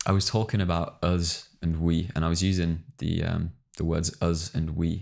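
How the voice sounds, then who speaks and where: An English accent with ordinary pitch variation. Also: man. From England. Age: 20s. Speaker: podcast co-host. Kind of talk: casual chat.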